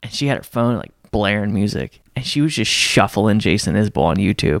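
Recorded very cleanly with a silent background and a dry, close sound with no echo, a man speaks at a moderate pace with lively intonation and vocal fry. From rural US, grew up on a farm. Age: 20s. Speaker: musician. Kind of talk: casual chat.

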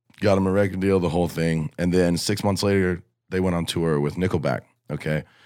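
Very deep and low in pitch, a man with an American accent speaks at a fairly quick pace with fairly even intonation and very even loudness on a very clean recording with a silent background. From southwest Ohio, north of Cincinnati. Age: 20s. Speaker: country musician. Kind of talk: casual chat.

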